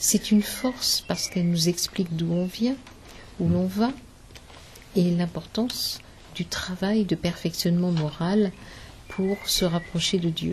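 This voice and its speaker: Here a woman talks at a fairly slow pace. Her pitch is medium, with ordinary variation. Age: 60s. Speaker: spiritist medium. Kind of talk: interview. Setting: symposium. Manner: hesitant, many fillers.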